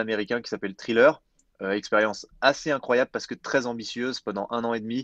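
Very fast and at medium pitch, a man talks with fairly even intonation against a quiet background, the sound dry and close with no echo. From France, Jura mountains. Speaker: entrepreneur, climate initiative co-founder. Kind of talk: interview. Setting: remote, mountain chalet.

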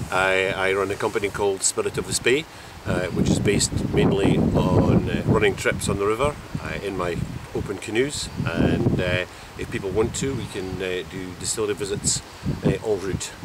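A man at a moderate pace, dry sound with no echo, over loud background noise. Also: ordinary pitch variation. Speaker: canoe trip guide. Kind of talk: interview answer. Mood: warm, enthusiastic. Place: waterside.

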